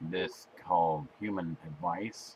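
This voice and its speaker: This man is doing a put-on character voice. It sits at a very deep, low pitch. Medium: solo performance. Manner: terse, deadpan, literal.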